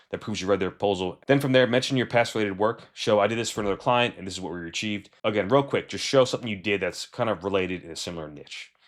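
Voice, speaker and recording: A man mumbles at a very fast pace with hardly any pauses, his fairly low voice showing ordinary pitch variation and big swings in loudness. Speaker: freelancer coach. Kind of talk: tutorial. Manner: mumbling.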